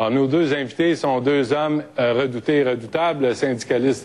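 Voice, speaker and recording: A man talks at a medium pitch with ordinary pitch variation while noticeable background noise carries on. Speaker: radio host. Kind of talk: debate moderation.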